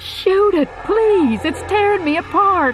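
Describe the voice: In a put-on character voice, a woman speaks slowly at an extremely high pitch with lively intonation over faint background noise.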